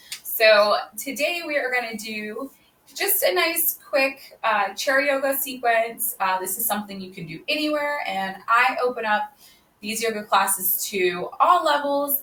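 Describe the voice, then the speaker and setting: At a fairly slow pace, a woman talks with a fairly high pitch and big swings in loudness. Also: lively intonation. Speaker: yoga instructor. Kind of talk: live online yoga class intro. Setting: livestream on social media from home. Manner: projects voice loudly; casual, chatty with fillers.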